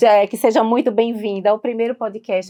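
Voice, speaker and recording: A woman with a plain, everyday voice, a fairly high pitch and a fairly quick pace. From Recife, Brazil. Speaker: podcast host. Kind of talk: podcast interview.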